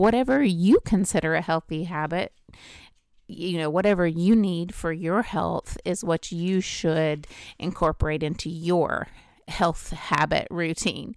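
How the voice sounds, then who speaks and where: On a very clean recording with a silent background, a woman speaks at a moderate pace in an unremarkable speaking voice with ordinary pitch variation. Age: 50s. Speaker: health podcast host. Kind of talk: solo podcast monologue.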